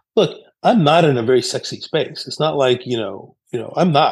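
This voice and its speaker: At a moderate pace, a man with a plain, everyday voice speaks with ordinary pitch variation. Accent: American. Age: 50s. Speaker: company CEO and author. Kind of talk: interview. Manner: conversational with many fillers.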